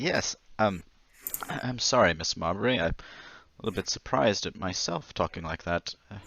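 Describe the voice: Man's put-on character voice, fairly bright in tone with vocal fry, lively intonation and a fairly slow pace. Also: fairly low pitch for a man.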